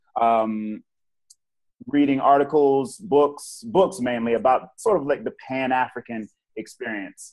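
In an ordinary speaking voice, a man with an American accent talks at a fairly slow pace, his medium pitch carried by lively intonation. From Portsmouth, Virginia. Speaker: teacher. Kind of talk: casual chat.

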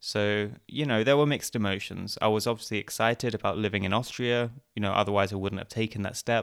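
Very fast and with hardly any pauses, a man in an Essex accent keeps a fairly low pitch and fairly even intonation. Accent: southern English (Essex). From England, Essex. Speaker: podcaster. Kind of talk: interview.

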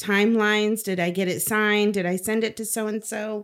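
A woman speaks in an ordinary speaking voice at medium pitch with fairly even intonation. The recording is very clean, with a silent background. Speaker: school educator. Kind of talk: casual chat. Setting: studio.

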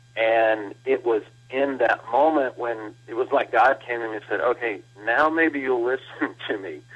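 A man with a Texas accent at a moderate pace. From Texas, Blanco. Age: 40s. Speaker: pastor. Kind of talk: interview. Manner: halting, many fillers and repeats.

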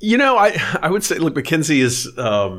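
A man with an American accent talks at a fairly quick pace in a plain, everyday voice with ordinary pitch variation. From San Antonio, Texas. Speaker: venture investor. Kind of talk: interview.

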